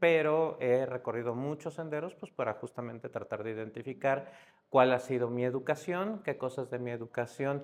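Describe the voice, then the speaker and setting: With a Mexico City accent, a man speaks at a moderate pace and a medium pitch, using ordinary pitch variation. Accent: Mexico City (Narvarte) accent, noticeable. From Mexico City, Narvarte. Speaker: psychiatrist. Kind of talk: podcast interview.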